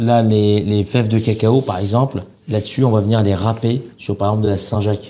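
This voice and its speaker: Over noticeable background noise, a man talks at a moderate pace. His pitch is fairly low and his intonation fairly even. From Algeria, Oran. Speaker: chef. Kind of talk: casual chat.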